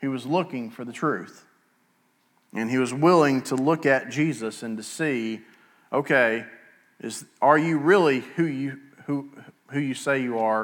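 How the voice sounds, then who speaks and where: With an Alabama accent, a man talks at a fairly slow pace with ordinary pitch variation and long, frequent pauses. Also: medium pitch for a man. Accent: Southern US (Alabama). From US South, Etowah County, Alabama. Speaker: pastor. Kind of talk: sermon. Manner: halting.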